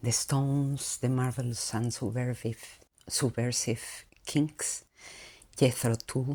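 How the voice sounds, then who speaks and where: A woman with a non-native accent speaks very slowly. Her very deep, low pitch holds a fairly even intonation. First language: not English. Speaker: vlogger. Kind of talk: monologue.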